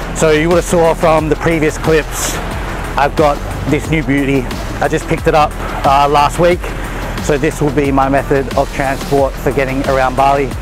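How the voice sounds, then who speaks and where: Flat, monotone delivery with long, frequent pauses, dry with no echo, over clear background music. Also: man, moderate pace. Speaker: fitness vlogger. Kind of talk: casual vlog chat. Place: street.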